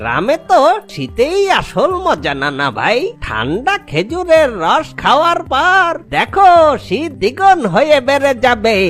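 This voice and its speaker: In a cartoonish character voice, the speaker moves at a fairly slow pace while music plays clearly in the background. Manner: warm, storytelling.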